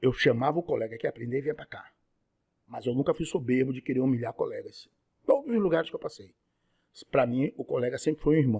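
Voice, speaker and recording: A man talks very fast, with long pauses coming often. His loudness swings widely, and the sound is dry and close with no echo. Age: 60s. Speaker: radiology technician and lecturer. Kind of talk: podcast interview.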